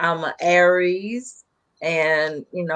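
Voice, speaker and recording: Fairly even in intonation, a woman with a Southern US accent speaks at a fairly low pitch. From North Carolina. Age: 40s. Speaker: small business consultant, podcast co-host. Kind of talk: casual chat.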